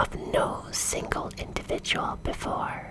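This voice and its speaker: With noticeable background noise, a woman whispers. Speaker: vampire VTuber storyteller. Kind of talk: whispered ASMR storytelling, bedtime story reading. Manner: whispered, soft.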